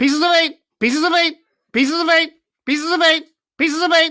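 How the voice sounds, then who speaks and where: A put-on character voice rattles along at a very fast pace. It is shrill and extremely high in pitch. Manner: repetitive, mechanical.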